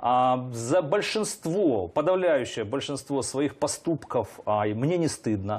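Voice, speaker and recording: A man speaks at a very slow pace with hardly any pauses, his pitch fairly high for a man. His voice makes very wide pitch swings. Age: 50s. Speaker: politician. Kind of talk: interview. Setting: studio. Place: studio. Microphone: lapel.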